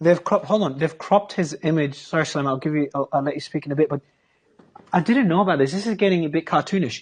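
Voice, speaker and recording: A man's fairly high voice at a very fast pace, with ordinary pitch variation and a quiet background. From Australia. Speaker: interviewer. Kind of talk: interview.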